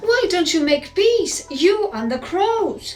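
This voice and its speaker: A woman's put-on character voice, extremely high in pitch, at a fairly slow pace. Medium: read story. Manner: calm, wise.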